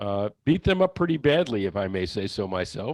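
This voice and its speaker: A man talks at a moderate pace over a quiet background. The sound is dry and close, with no echo. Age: 60s. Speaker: author and attorney. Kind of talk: interview. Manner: halting, with frequent fillers and repeats.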